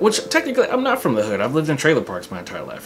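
Clear music plays in the background. A man is speaking over it. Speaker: comedian content creator. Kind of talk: casual vlog chat. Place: home room.

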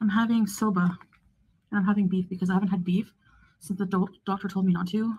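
A woman talks at a very fast pace in a somewhat breathy voice. Her tone is dark and mellow, her intonation monotone and flat. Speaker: vlogger. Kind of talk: casual vlog chat. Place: home room. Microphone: phone near.

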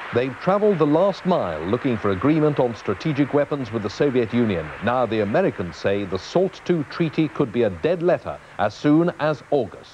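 A serious tone in a British accent at a moderate pace, with very wide pitch swings, hardly any pauses and noticeable background noise. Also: man, medium pitch for a man. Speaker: news presenter. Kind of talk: TV news headlines read in a grave, authoritative tone. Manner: serious, steady and formal.

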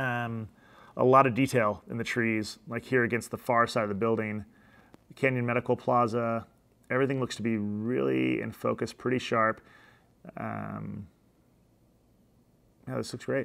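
At a moderate pace, a man speaks with fairly even intonation and long, frequent pauses. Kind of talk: tutorial commentary. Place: office.

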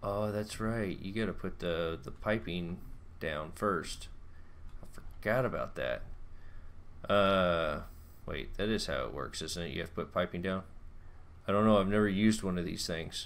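A moderate pace with ordinary pitch variation and long, frequent pauses. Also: man, very deep, low pitch for a man. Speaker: gaming YouTuber. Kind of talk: gameplay commentary. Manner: casual, chatty.

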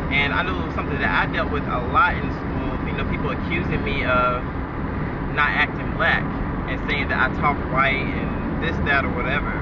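A man at a moderate pace, dry sound with no echo, amid loud background noise. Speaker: vlogger. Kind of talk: casual vlog chat. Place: car. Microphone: phone near.

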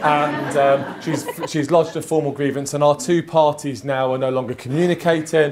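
A man talks with ordinary pitch variation at a moderate pace. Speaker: trainer presenting a mediation demo. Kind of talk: lecture. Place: hall. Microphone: camera far.

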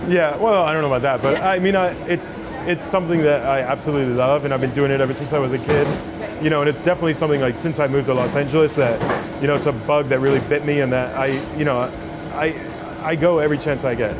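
A man talking at a very fast pace over clear music in the background. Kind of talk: cooking demonstration and interview answer. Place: kitchen. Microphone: lapel.

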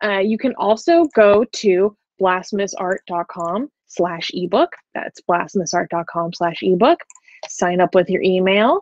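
The recording has a dry sound with no echo. A woman speaks fairly slowly with ordinary pitch variation. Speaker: channel cohost. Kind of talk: promotional ad read. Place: home room. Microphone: earbuds.

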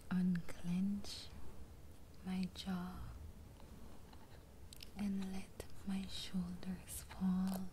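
A soft-spoken woman talks at a very slow pace. Her intonation stays monotone and flat over light background noise. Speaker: affirmation video host. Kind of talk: soft spoken guided affirmations. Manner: soft, hushed ASMR bedtime voice. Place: home room. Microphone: phone near.

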